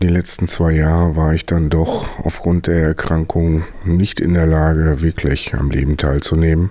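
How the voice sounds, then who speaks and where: A man speaks in a very deep, low voice at a fairly slow pace, with hardly any pauses. His intonation is flat and monotone, and there is noticeable background noise. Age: 40s. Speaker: podcast host and cannabis patient. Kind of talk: monologue introduction.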